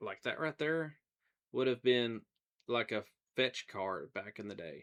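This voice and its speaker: A man with an American accent speaks at a very slow pace, his pitch medium and his intonation lively. The background is quiet. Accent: country, hickish. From US South. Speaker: gaming streamer. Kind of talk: casual live stream chat. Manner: relaxed, conversational.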